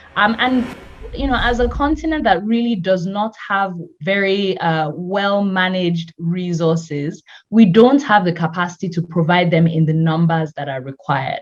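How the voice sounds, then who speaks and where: Lively intonation in the somewhat breathy voice of a woman. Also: medium pitch for a woman, moderate pace. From Nigeria. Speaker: health tech company founder. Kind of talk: interview.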